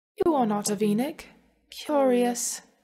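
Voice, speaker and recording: A woman puts on a breathy character voice with a high pitch and ordinary pitch variation. She talks at a moderate pace. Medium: read story. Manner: detached, strange.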